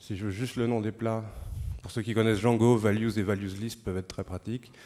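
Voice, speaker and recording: Fairly low in pitch, this man's voice has a dark, mellow tone. His intonation is fairly even. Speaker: software developer giving a lightning talk. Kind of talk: conference lightning talk with live demo. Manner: hesitant, many fillers.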